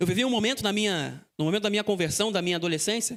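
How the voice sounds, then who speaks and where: A man talks with ordinary pitch variation. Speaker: seminary student preacher. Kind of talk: sermon. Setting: church.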